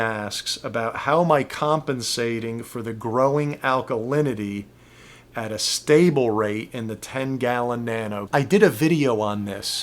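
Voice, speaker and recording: He has a normal speaking voice, medium in pitch with ordinary pitch variation. This man talks at a fairly slow pace, his loudness swinging widely. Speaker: reef aquarium youtuber. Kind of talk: q&a tutorial. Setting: home studio.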